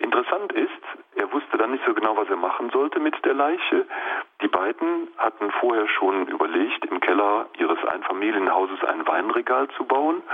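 Moderately paced male speech amid noticeable background noise. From Lower Rhine, Germany (Mönchengladbach). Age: 50s. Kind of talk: radio interview.

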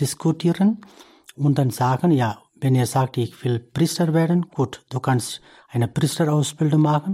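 On a very clean recording with a silent background, a man with a fairly high pitch talks at a fairly slow pace in a dark, mellow, somewhat breathy tone with ordinary pitch variation. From India. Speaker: priest. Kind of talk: interview. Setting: studio. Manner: halting.

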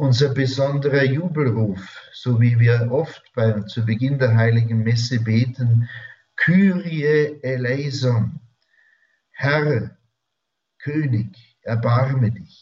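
Very slow and full of long, frequent pauses, a man speaks with ordinary pitch variation. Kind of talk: spiritual talk. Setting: radio studio.

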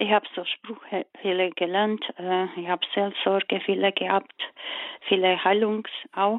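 Very slowly, a woman talks, her pitch varying in an ordinary way. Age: 40s. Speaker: caller. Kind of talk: phone-in call. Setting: phone call. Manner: halting.

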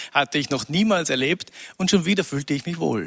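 A man talks at a moderate pace in a plain, everyday voice, with ordinary pitch variation. The sound is dry and close, with no echo. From Upper Austria, rural. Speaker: former music industry manager. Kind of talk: interview.

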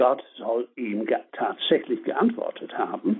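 A man speaks in an English accent. His pace is very slow. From northern England (Leeds), Irish family. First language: English (speaking German). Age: 70s. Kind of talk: spiritual talk on prayer. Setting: phone call.

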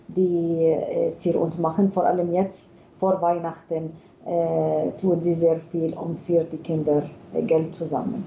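A woman with an Arabic accent speaks at a fairly low pitch. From Palestine, Bethlehem. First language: Arabic (speaking German). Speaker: pediatrician, hospital chief physician. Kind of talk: radio interview. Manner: hesitant, many fillers.

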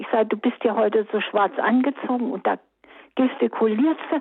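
Pitch varies in an ordinary way as the words unfold at a fairly slow pace. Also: woman. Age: 80s+. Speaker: caller. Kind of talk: call-in testimony.

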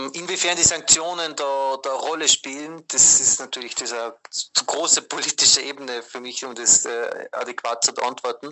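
This man's voice sits fairly high, and he speaks at a moderate pace. His intonation stays fairly even while his loudness swings a lot. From Austria. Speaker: Jesuit aid worker. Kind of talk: interview. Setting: WhatsApp call. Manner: hesitant, many fillers.

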